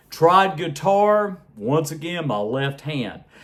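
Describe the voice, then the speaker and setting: Male speech in an American accent, with clearly audible noise behind it. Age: 60s. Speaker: music vlogger, trained singer. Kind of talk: casual vlog monologue.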